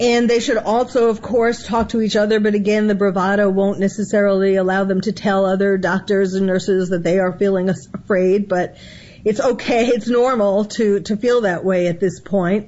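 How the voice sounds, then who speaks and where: A woman with a plain, everyday voice speaks at medium pitch with fairly even intonation. She hardly pauses at all. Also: moderate pace. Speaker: psychiatrist. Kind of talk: interview expert commentary.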